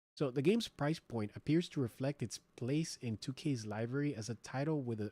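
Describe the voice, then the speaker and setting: Dry and close with no echo, this very clean recording with a silent background carries a dark, mellow tone at a moderate pace with ordinary pitch variation. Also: man. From United States. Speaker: streamer. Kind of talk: live stream chat and news reaction. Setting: live stream. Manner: loud; casual, filler-heavy.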